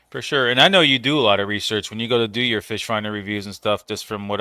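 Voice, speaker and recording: Bright and sharp in tone, this man's fairly low voice moves at a very fast pace with fairly even intonation, in a dry, close sound with no echo. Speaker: fishing channel host. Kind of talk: live stream interview. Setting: live stream.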